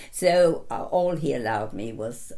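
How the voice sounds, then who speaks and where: The speaker has a southern English accent, and the room echo is audible. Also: woman. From south London. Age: 90s. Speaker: retiree interviewee. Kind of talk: life story interview.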